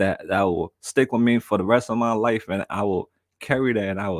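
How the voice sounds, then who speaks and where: The recording is very clean, dry and close, with a silent background and no echo. A man with an American accent talks at a medium pitch and a moderate pace. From New York. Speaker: live streamer. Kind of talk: casual chat. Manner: repetitive, halting starts.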